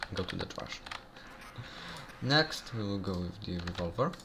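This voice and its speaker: A man speaks with a non-native accent. His voice is fairly low. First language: not English. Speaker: gaming youtuber. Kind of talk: game tutorial. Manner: halting, many fillers. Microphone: bad audio quality.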